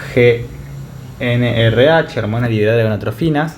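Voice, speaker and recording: A man at medium pitch speaks with ordinary pitch variation amid noticeable background noise and audible room echo. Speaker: medical tutor. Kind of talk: lecture. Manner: fast.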